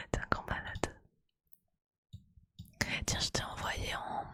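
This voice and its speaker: Whispering, a woman speaks at a very slow pace. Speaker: Twitch streamer and ASMR creator. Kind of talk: casual live stream chat with viewers. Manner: casual, chatty, normal speaking voice.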